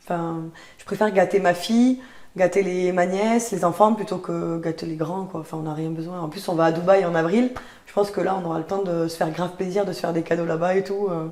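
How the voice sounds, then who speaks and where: In a Toulouse accent, the speaker moves at a fairly quick pace with fairly even intonation over noticeable background noise. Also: woman, fairly low pitch for a woman. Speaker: podcast host, online content trainer. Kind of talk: casual chat.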